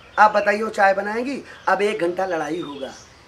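A raised, projected voice moves at a fairly slow pace with lively intonation over light background noise. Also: man. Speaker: village social-message vlogger. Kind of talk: casual vlog chat with acted bits. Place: street.

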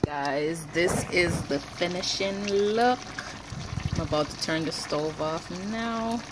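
A woman at a slow pace, with ordinary pitch variation and faint background noise. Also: fairly low pitch for a woman.

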